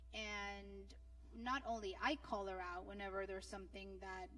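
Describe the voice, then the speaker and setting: A woman speaks with a Spanish accent. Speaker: panelist. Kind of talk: panel discussion. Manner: halting.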